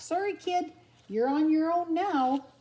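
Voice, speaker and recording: A woman uses a squeaky, put-on character voice. It sits at an extremely high pitch and moves at a fairly slow pace. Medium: read story. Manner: cocky, streetwise.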